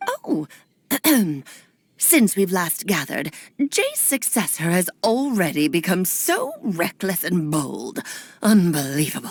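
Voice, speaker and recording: Using a put-on character voice, a woman speaks at a medium pitch and a fairly slow pace. Her speech has long, frequent pauses. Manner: imperious, disdainful.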